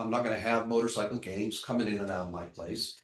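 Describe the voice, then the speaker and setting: A man speaks at a fairly quick pace. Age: 60s. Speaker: business owner applicant. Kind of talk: public hearing testimony. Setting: council meeting. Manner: halting.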